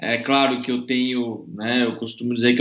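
Flat and monotone, a man speaks at a medium pitch. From São Paulo, North Zone. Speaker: racing driver. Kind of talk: casual chat.

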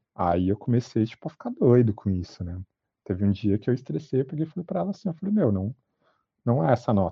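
Speaking at a very fast pace, a man with a medium pitch sounds somewhat breathy, with lively intonation. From Brazil, São Paulo metro area (Itaquaquecetuba). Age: 30s. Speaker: fashion designer and artist. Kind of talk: interview.

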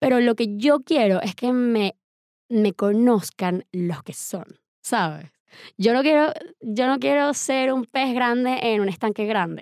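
Very slow speech with lively intonation comes through dry and close with no echo, in a very clean recording with a silent background. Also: woman, fairly high pitch for a woman. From Venezuela (Valencia), born in Medellín. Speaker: film director. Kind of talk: casual interview chat.

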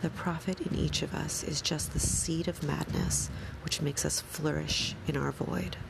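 A woman talks in a calm, soothing tone at a very even loudness, with noticeable background noise behind her. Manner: slow, measured, deliberate and calm, with pauses and a soothing even cadence; quiet, soft-spoken, somber and contemplative, occasionally self-correcting a stumble.

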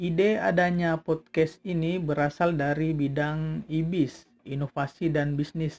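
A man with a normal speaking voice, fairly high pitch, fairly even intonation, and a fairly slow pace. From South Sulawesi, Palopo. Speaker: student organization chairman. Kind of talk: informational talk.

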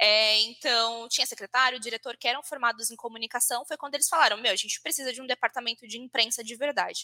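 A bright, sharp tone at a very fast pace, with hardly any pauses, fairly even intonation, and a dry, close sound with no echo. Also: woman, high pitch for a woman. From Brazil, Santa Isabel (São Paulo state). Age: 20s. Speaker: social media content lead. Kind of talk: casual interview.

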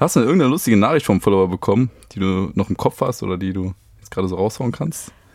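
Talking at a very fast pace, a man uses lively intonation with big swings in loudness. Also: fairly low pitch for a man, dry, close sound with no echo. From Germany, Düsseldorf. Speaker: podcast host, former reality TV contestant. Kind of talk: casual interview chat.

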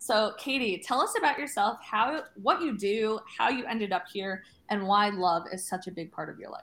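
A woman's normal speaking voice, fairly high-pitched, with lively intonation, big swings in loudness, a moderate pace and hardly any pauses. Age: 30s. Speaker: podcast host. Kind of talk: casual chat.

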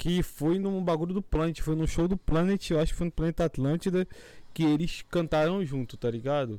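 This man has a high pitch and a dark, mellow tone, with ordinary pitch variation. He speaks at a moderate pace, his loudness very even. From Rio de Janeiro, Brazil. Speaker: podcast co-host. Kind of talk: casual chat.

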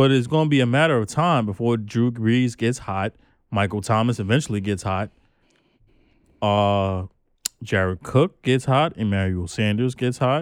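A man with an American accent and a normal speaking voice, medium in pitch with ordinary pitch variation, at a moderate pace on a very clean recording with a silent background. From New York, the Bronx. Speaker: podcast co-host. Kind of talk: casual chat.

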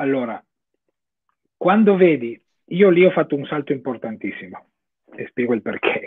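Pausing long and often, a man speaks at a fairly high pitch with very wide pitch swings. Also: moderate pace. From Italy. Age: 30s. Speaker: online course student. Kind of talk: interview on livestream.

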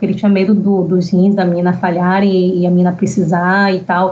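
This woman's voice is somewhat breathy. She talks at a fairly quick pace. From Bahia, Brazil. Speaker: novelist. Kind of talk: casual interview.

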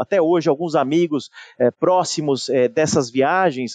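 A man with ordinary pitch variation, in a dry, close sound with no echo. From São Paulo, Brazil. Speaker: IT and digital director at a large company. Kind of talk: interview conversation. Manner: halting with many repetitions.

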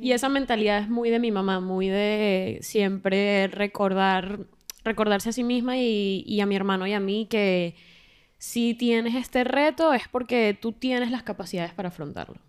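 A woman speaks at a moderate pace in a plain, everyday voice. Her pitch sits in the middle range. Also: ordinary pitch variation. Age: 20s. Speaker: podcast co-host. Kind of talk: casual chat.

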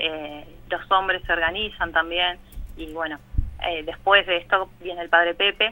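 A woman with a fairly low pitch speaks fairly slowly in a monotone, flat intonation, while her loudness swings a great deal. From Buenos Aires, Argentina (Villa Zabaleta, Barracas). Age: 40s. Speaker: parish community worker in a shantytown. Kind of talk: radio interview. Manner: halting, many fillers.

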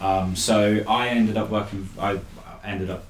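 A man's monotone, flat delivery against noticeable background noise. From Norfolk, England. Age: 20s. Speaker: parkour athlete. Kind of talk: casual chat.

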